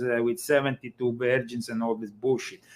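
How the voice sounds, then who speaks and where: A man with an Italian accent. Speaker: author on secret societies. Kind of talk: interview.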